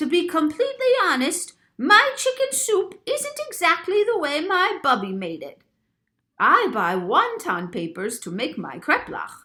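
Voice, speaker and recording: At a moderate pace, a woman does a put-on character voice with an extremely high pitch. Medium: read story.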